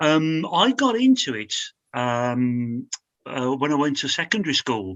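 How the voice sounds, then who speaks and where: A man speaks at a fairly slow pace, his fairly high pitch carried by lively intonation. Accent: Birmingham. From Birmingham, English Midlands. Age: 60s. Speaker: glass slide maker. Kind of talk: interview. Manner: halting, many fillers.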